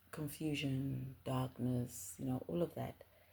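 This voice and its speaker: A woman is whispering. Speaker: spiritual content creator. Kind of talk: casual monologue. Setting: home at night. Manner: hesitant, many fillers.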